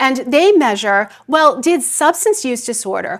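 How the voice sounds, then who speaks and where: High-pitched and with lively intonation, a woman speaks in an American accent. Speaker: psychiatry professor and researcher. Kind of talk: keynote lecture. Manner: fast.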